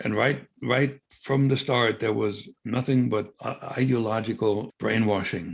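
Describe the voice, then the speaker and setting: A man with a German accent and a medium pitch, at a fairly slow pace with hardly any pauses and ordinary pitch variation. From East Germany. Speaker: former spy. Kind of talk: interview. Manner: halting.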